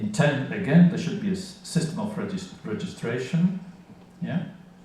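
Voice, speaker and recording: With audible room echo and noticeable background noise, this man talks at an even, moderate rate. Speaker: conference speaker on legal interpreting. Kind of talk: conference lecture.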